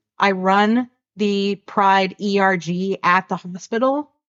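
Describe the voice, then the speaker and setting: This is a woman with a normal speaking voice. Her pitch is medium and varies in an ordinary way. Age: 40s. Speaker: LGBTQ+ organization president, hospital worker. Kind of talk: podcast conversation.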